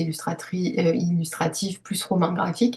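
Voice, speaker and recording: Her pitch fairly low with ordinary pitch variation, a woman speaks at a moderate pace. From Paris, France. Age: 30s. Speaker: illustrator and author. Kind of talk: interview testimony. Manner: hesitant, many fillers.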